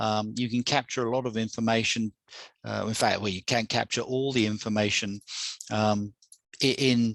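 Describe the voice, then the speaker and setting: Speaking in a monotone, flat intonation, a man holds a medium pitch, the sound dry and close with no echo. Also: moderate pace. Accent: English. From England. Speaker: software presenter. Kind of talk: product demo presentation. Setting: video call webinar. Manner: halting, many repetitions. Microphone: new headset.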